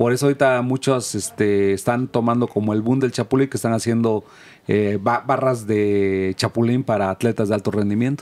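A man with a plain, everyday voice talks at medium pitch and a moderate pace, keeping his intonation fairly even. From Mexico, Oaxaca. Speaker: insect food cooperative producer. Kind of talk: interview.

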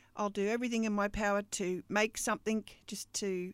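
A woman with an Australian accent speaks at a moderate pace and medium pitch, her fairly even intonation captured in a dry, close recording with no echo that is very clean, with a silent background. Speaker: podcast host and business coach. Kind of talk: casual monologue.

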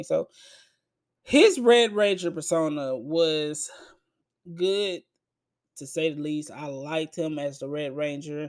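Here a man with a normal speaking voice talks at a fairly high pitch for a man. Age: 20s. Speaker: movie review podcaster. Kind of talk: solo movie review monologue. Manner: casual, conversational.

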